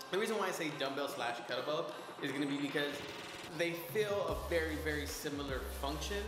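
A man at a moderate pace, with music in the background and audible room echo. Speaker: fitness vlogger. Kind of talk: tutorial. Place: gym. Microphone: camera far.

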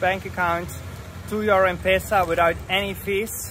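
Against noticeable background noise, a man with a high voice talks at a fairly slow pace. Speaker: travel vlogger. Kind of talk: casual vlog chat. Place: street. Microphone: phone near.

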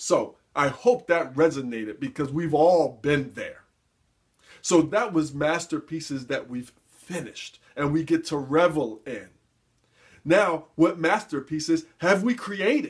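With an ordinary speaking voice, a man talks at a fairly slow pace, fairly high in pitch with lively intonation, over a quiet background. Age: 40s. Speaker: motivational speaker and life coach. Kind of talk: motivational talk to camera. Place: office. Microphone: webcam.

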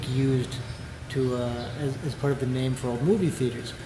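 This man speaks at a moderate speed. Noticeable background noise runs underneath. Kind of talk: interview answer. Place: hall.

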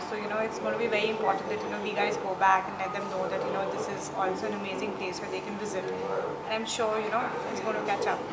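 A woman talks at a very fast pace, barely pausing. Loud noise fills the background. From India. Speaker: tourist. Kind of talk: interview. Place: home room.

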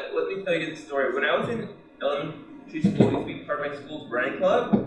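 A man's fairly bright voice shows ordinary pitch variation amid strong room echo.

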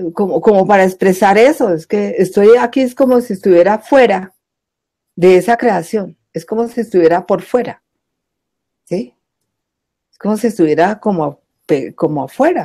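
Lively intonation and a dark, mellow tone mark this moderate-paced speech, broken by long, frequent pauses. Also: woman, medium pitch for a woman. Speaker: guest sharing spiritual life story. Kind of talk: testimony.

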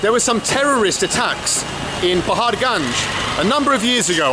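Noticeable background noise sits under speech that has lively intonation. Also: man. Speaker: travel vlogger. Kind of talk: casual vlog chat. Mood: cheerful, upbeat. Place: market. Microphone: phone near.

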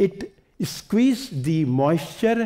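A man with an Indian accent speaks in a dark, mellow tone that moves through very wide pitch swings. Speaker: environmentalist. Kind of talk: lecture. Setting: stage with audience.

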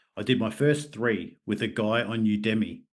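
Over a quiet background, a man with an Australian accent talks with ordinary pitch variation. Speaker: martial artist and mental health therapist. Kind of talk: casual interview.

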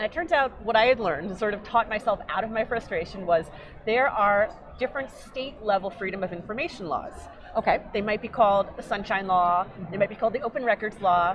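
Over noticeable background noise, a woman with an American accent talks very fast at a fairly high pitch with ordinary pitch variation. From New York. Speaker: genealogy hobbyist and nonprofit founder; interview guest. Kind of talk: interview. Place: hall.

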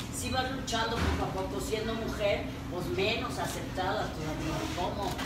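Through audible room echo and loud background noise, a woman speaks at a fairly slow pace. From Mexico, Guadalajara. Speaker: rock singer. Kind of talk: press conference. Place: hall.

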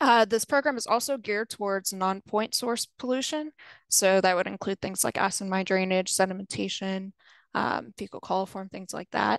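In a quiet background with a dry sound and no echo, a woman speaks at a moderate pace with ordinary pitch variation. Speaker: water resources specialist. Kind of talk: webinar presentation. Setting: video call. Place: home room. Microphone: video call.

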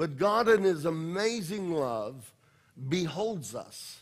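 Against a quiet background, a man is talking. His pace is very slow. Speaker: pastor. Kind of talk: sermon. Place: church.

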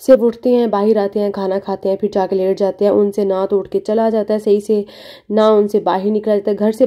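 A speaker with a Pakistani accent talks at a moderate pace. The tone is dark and mellow, with monotone, flat intonation. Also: woman. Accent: Pakistani Urdu. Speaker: family vlogger. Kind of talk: vlog narration.

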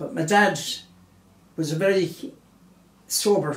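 A man speaks in a room with audible echo. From Galway, Ireland. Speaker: interviewee recalling family life. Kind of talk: interview answer. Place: home room.

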